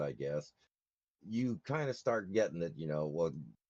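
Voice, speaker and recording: In a dry, close recording with no echo, a man speaks at a fairly slow pace with a dark, mellow tone. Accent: American. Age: 60s. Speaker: former Marine. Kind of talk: casual debate.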